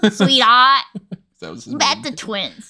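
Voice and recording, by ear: Raspy and put on, this character voice uses a New York accent with ordinary pitch variation. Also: woman, fairly high pitch for a woman.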